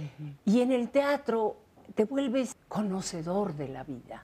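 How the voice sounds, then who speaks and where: A woman speaks in a dark, mellow tone at a fairly slow pace. Her pitch swings very widely. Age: 70s. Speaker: actress. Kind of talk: interview. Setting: at home.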